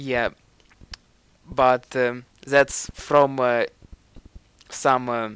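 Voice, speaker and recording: A man speaks very slowly in a Ukrainian accent, his medium-pitched voice a flat monotone. Long, frequent pauses break up the speech, which sounds dry and close with no echo. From Ukraine. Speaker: self-improvement vlogger. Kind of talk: video commentary. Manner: hesitant.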